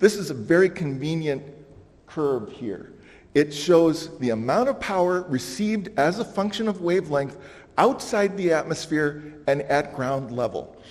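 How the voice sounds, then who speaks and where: At a fairly slow pace, a man with a plain, everyday voice speaks at a fairly high pitch with lively intonation. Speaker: conference speaker. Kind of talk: conference presentation.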